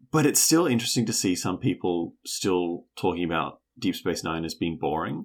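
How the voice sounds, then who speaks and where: With a New Zealand accent and a very deep, low pitch, a man talks at a moderate pace with hardly any pauses and lively intonation. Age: 30s. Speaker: podcast co-host. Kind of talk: casual chat.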